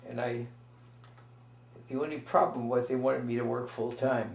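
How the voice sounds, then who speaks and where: A man speaks at a moderate pace. The room echo is audible and the background noise noticeable. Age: 80s+. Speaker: retired pediatrician interviewed about family history. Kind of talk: oral history interview. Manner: halting, many fillers.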